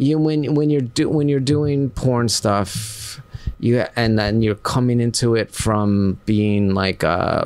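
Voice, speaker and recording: A man with a plain, everyday voice talks at a medium pitch and a fairly slow pace, with lively intonation, hardly any pauses and very even loudness. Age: 50s. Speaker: action figure artist and adult film performer. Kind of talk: casual chat.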